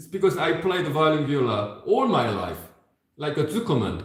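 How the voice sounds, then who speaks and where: With audible room echo behind him, a man speaks at a fairly slow pace, his pitch swinging very widely. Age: 60s. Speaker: violin and viola teacher. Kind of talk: masterclass teaching. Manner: halting, many repetitions.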